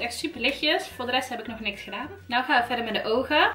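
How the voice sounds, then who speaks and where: Over faint background music, a woman speaks very fast in a raised, projected voice. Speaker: beauty vlogger. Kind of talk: casual makeup review chat.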